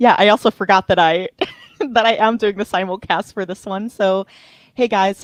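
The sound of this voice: In a put-on character voice, a woman speaks raspily at a moderate pace, her medium pitch held to fairly even intonation.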